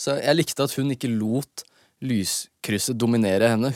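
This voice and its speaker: In a normal speaking voice at medium pitch, a man talks at a moderate pace on a very clean recording with a silent background and a dry, close sound with no echo. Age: 20s. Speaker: rapper and podcast host. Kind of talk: casual solo podcast monologue. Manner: relaxed, rambling.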